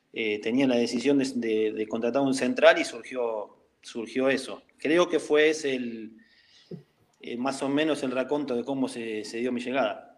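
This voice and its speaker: Fairly slow and with fairly even intonation, a man is talking. He has an ordinary speaking voice. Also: medium pitch for a man. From Argentina, La Plata. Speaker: former professional footballer. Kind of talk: interview. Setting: call.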